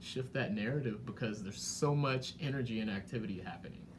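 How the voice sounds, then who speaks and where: A man's voice with vocal fry, in a room with audible echo. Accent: American. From Washington, D.C. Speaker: economic development director. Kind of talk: interview conversation.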